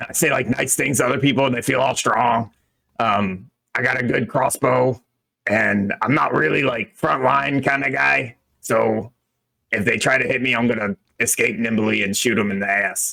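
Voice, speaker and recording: A man uses a put-on character voice that is raspy and medium in pitch. He speaks at a moderate pace. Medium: actual play. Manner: casual, joking, street-talking.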